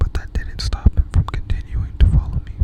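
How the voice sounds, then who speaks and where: A woman whispers at a moderate pace while noticeable background noise carries on. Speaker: ASMR creator. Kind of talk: ASMR scary story reading for sleep.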